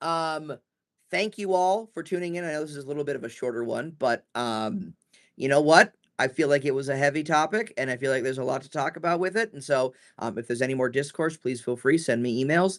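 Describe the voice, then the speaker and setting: Loud and very fast, a man talks at a fairly high pitch with ordinary pitch variation against a quiet background. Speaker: trainer answering staff questions. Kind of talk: live Q&A. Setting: livestream. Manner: hesitant, many fillers.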